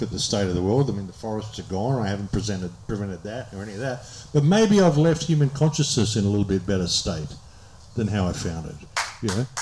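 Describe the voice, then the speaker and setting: A man's fairly low, somewhat breathy voice at a very fast pace, with lively intonation and an Australian accent. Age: 60s. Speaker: speaker on a public talk tour. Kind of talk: audience Q&A.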